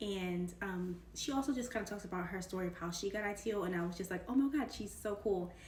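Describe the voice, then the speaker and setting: An animated, very fast delivery with ordinary pitch variation, audible room echo and noticeable background noise. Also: woman, medium pitch for a woman. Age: 20s. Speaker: tech career YouTuber. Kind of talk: casual vlog.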